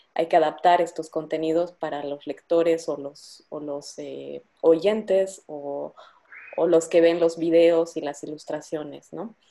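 A dark, mellow tone at a fairly slow pace. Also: woman. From Bolivia. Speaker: podcast host. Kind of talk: interview.

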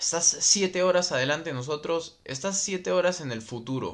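This man talks fairly slowly, his intonation lively. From Peru, Lima. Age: 20s. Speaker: motocross racer and podcast host. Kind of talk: casual livestream chat reading viewer comments. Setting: Facebook live stream recorded as podcast, home microphone.

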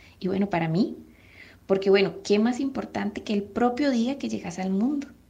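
Her voice is fairly high and somewhat breathy, with a dark, mellow tone. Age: 30s. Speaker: mother. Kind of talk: testimony.

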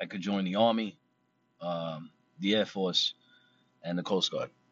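The speaker is a man. He has an American accent. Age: 30s. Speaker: podcaster and navy veteran. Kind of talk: personal monologue. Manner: halting.

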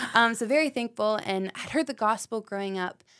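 A woman with an American accent, fairly high in pitch with ordinary pitch variation, on a very clean recording with a silent background. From Knoxville, Tennessee. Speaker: middle school ministry leader. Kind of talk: casual chat.

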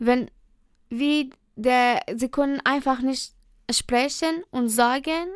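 A woman with a Persian accent speaks at a fairly slow pace and a high pitch in a very clean recording with a silent background. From Iran. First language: Persian (speaking German). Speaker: trainee dental assistant. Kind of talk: interview. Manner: halting.

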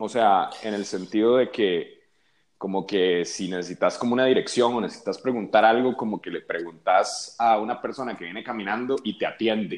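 Quiet background behind a man speaking at a moderate pace. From Costa Rica. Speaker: musician. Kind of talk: casual chat.

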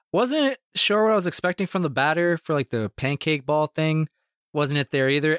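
In a dry, close sound with no echo, a man with a plain, everyday voice talks at a moderate pace, fairly high pitch, and lively intonation. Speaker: podcast co-host. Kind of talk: casual chat among friends. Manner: joking, laughs often.

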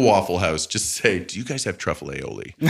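His accent is American. The man keeps a moderate pace. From US Midwest (St. Louis). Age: 40s. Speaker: comedian. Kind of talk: casual chat.

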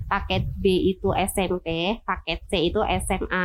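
The speaker is a woman. Her pitch is medium. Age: 30s. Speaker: prison education staff. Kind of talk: interview. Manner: hesitant with fillers.

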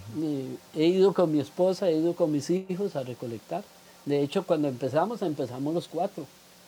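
His voice is fairly high, with ordinary pitch variation. The man talks fairly quickly. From Costa Rica, Cartago. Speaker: environmental campaigner and football fan. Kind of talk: interview. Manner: halting, many fillers.

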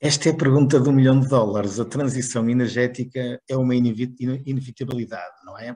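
A man with a northern Portuguese accent speaks at a fairly quick pace with hardly any pauses. His dark, mellow tone shows big swings in loudness. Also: medium pitch for a man, fairly even intonation. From northern Portugal, Barcelos. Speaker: chemical engineer and sales executive. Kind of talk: interview. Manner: hesitant with repetitions.

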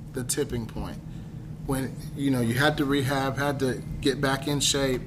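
There is noticeable background noise. Over it comes a man's voice, fairly high in pitch. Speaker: podcast host. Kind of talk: casual chat. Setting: cigar lounge. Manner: animated.

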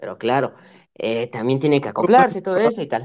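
Very wide pitch swings run through what a man says. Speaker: student and football fan. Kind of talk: casual chat.

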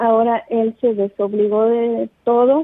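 Flat, monotone intonation from a woman pitched fairly high. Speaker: caller. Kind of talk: phone call advice. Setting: phone call. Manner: hesitant. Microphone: too far from the phone.

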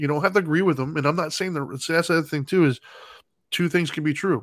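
A man talks at a very fast pace. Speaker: podcast host. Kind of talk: casual chat. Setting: live online stream. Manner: relaxed, joking.

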